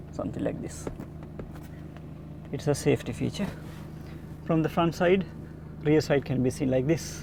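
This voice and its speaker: A man with a Sri Lankan accent, medium-pitched with very wide pitch swings, at a moderate pace broken by long, frequent pauses, over noticeable background noise. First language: Sinhala. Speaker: car reviewer, YouTuber. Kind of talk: walkaround car review. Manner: halting, many filler uhs.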